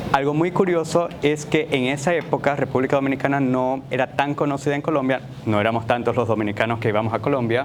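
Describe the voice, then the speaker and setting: Talking at a very fast pace with hardly any pauses, a man with a medium pitch and ordinary pitch variation is heard amid audible room echo and noticeable background noise. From Dominican Republic. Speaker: economist and humanitarian data expert. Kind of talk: keynote lecture.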